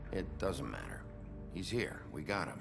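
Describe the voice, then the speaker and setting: A man uses a cartoonish character voice at a moderate pace. Loud background noise runs behind him. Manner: gruff, blunt, profane.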